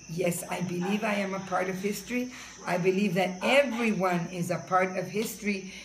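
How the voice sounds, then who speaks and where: Amid noticeable background noise and audible room echo, a woman speaks at a fairly quick pace with fairly even intonation. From Bronx, New York and Puerto Rico. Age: 60s. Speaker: interviewee. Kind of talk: interview.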